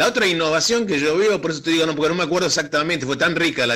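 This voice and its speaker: A man speaks with a fairly high pitch, a bright, sharp tone, and ordinary pitch variation. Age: 60s. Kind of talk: radio interview discussion. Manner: halting, many fillers and restarts; animated, emphatic.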